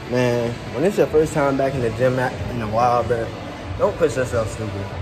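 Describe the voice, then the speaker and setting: With clear music in the background, a man speaks at a moderate pace with ordinary pitch variation. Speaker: fitness vlogger. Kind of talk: casual vlog chat. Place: gym. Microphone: phone near.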